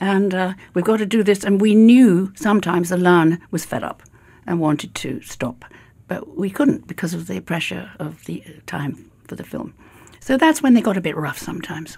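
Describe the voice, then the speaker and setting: With a British accent, a woman speaks at a moderate pace in a medium pitch, her dark, mellow tone carrying vocal fry, lively intonation and big swings in loudness. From Britain. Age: 80s+. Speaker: actress. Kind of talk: interview answer.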